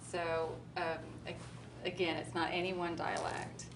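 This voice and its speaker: Audible room echo and noticeable background noise around a woman in an American accent. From US Midwest, Kansas. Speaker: spiritual channeler. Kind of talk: talk to live audience. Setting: stage with audience at expo.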